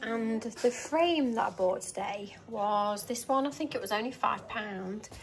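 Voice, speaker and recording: Over noticeable background noise, a woman with a fairly high pitch and ordinary pitch variation speaks at a fairly slow pace with hardly any pauses. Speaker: lifestyle vlogger. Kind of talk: casual vlog talk to camera.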